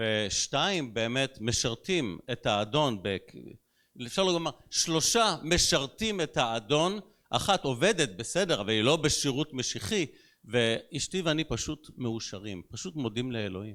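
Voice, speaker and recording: A man's bright, sharp tone with very wide pitch swings at a very slow pace, in a very clean recording with a silent background. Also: medium pitch for a man. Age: 60s. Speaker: pastor. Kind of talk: sermon.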